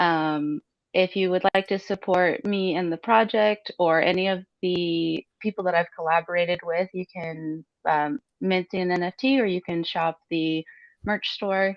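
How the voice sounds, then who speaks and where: Speaking fairly slowly with an American accent, a woman has a fairly low pitch and a plain, everyday voice. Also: fairly even intonation. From Utah, US. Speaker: crypto artist. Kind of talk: interview.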